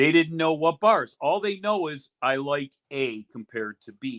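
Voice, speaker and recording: At a fairly slow pace, a man speaks in an American accent. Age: 60s. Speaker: sauce business owner, retired union official. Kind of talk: interview on a podcast. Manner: animated, repetitive restarts.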